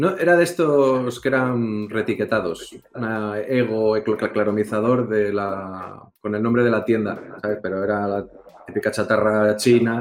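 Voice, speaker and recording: A man with a Castilian accent at a fairly low pitch, with ordinary pitch variation and a moderate pace. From Spain. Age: 40s. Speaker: vaping video reviewer. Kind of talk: casual chat.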